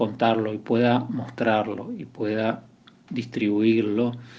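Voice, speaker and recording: A man talks at a fairly slow pace. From Buenos Aires conurbano, Argentina. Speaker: photographer. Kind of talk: recorded interview. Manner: halting, repeats words.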